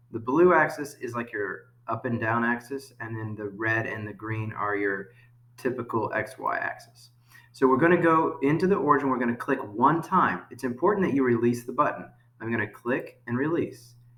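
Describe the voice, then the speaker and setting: Noticeable background noise sits behind this man. His medium-pitched voice shows ordinary pitch variation. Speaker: school teacher. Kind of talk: tutorial. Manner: fast.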